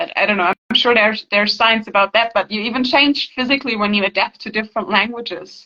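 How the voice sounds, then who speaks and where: A woman with a German accent and fairly high pitch, at a very fast pace with hardly any pauses and ordinary pitch variation. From Germany. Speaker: healing practitioner, channel owner. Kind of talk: casual interview conversation. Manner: halting, repeats words.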